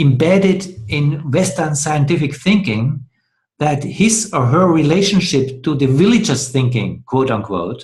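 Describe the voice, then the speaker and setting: A man's fairly high, somewhat breathy voice with a non-native accent, lively intonation and a fairly slow pace. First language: not English. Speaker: dialogue host. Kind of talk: discussion. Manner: halting.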